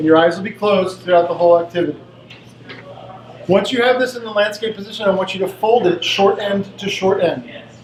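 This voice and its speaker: Loud and very fast, a man talks at a high pitch with ordinary pitch variation amid noticeable background noise. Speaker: presenter leading team games. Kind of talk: interactive workshop presentation.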